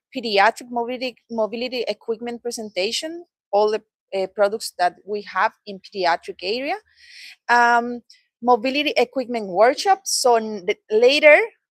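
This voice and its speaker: A woman speaks with a Latin American accent at a fairly high pitch. Her intonation is lively, her pace moderate, and the sound dry and close with no echo. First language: Spanish. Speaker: product trainer. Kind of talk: training presentation. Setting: training session with live audience.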